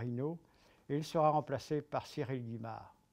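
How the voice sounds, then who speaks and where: The man's pitch sits in the medium range, with ordinary variation. His tone is dark and mellow. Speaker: veteran sports commentator. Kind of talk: sports history storytelling to camera.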